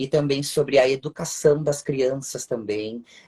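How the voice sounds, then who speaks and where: The speaker talks at a fairly slow pace in a southern Brazilian accent. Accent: gaúcho. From Rio Grande do Sul, southern Brazil. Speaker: psychoanalyst and live-stream host. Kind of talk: live-stream conversation. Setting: online live stream.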